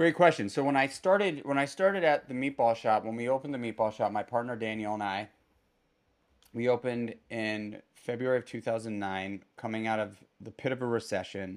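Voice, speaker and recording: Speaking fairly quickly in an ordinary speaking voice, a man with an American accent keeps a medium pitch and ordinary pitch variation. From New York City, Manhattan. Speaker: restaurateur and entrepreneur. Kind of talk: casual interview conversation.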